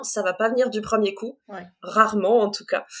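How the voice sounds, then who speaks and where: Talking at a moderate pace, a woman with a normal speaking voice holds a fairly high pitch. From northern France, Compiègne (Oise). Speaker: art supplies shop assistant and illustrator. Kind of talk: interview.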